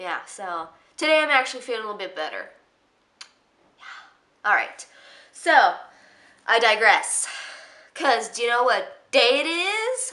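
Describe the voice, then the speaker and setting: A woman speaks high and bright, with a sharp, raised, projected voice and very wide pitch swings. Her pace is fairly slow, with long, frequent pauses and big swings in loudness. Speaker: beauty and freebie vlogger. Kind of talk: casual vlog. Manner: animated.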